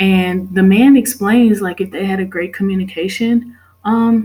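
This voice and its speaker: At a fairly slow pace, a woman speaks in a plain, everyday voice at medium pitch. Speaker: student. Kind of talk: class presentation.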